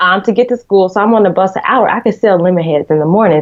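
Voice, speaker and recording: With an American accent, a woman speaks using ordinary pitch variation. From US South, Decatur, Georgia (Atlanta). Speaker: magazine editor and entrepreneur. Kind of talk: interview. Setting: podcast. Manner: fast, chatty with many fillers.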